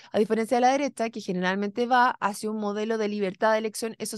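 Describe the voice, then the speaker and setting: A woman speaks in a fairly high pitch. The sound is dry with no echo, over a quiet background. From Chile. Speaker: radio political podcast host. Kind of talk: political discussion. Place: studio. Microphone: studio mic.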